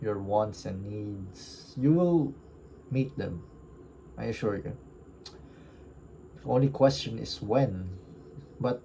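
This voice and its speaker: Very slow and somewhat breathy, a man talks in a fairly low pitch with a dark, mellow tone. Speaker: book reviewer. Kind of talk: casual reflective monologue. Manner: halting, stuttering.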